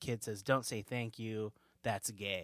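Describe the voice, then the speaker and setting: A man with an American accent at a medium pitch, flat and monotone, in a dry, close sound with no echo on a very clean recording with a silent background. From US West Coast, suburbs of Sacramento, California. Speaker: comedian. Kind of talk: casual chat.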